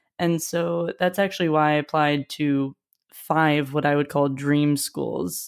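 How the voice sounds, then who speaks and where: Against a very clean recording with a silent background, a woman speaks with a Midwestern US accent at a very deep, low pitch. Her pace is fairly slow and her intonation fairly even. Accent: US Midwest. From US Midwest (Wisconsin and Ohio). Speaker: YouTuber and college admissions coach. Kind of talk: casual interview.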